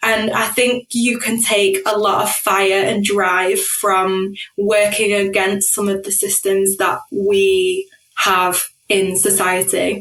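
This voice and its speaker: In a northern English accent, a woman with a medium-pitched voice speaks very slowly in a flat monotone. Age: 30s. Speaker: corporate professional, podcast guest. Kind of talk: podcast interview.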